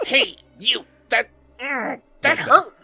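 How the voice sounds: Someone speaks in a put-on character voice. Faint music plays in the background. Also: high pitch.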